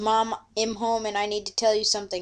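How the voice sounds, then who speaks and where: A woman uses a put-on character voice at a fairly high pitch. She moves at a fairly quick pace. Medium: read story.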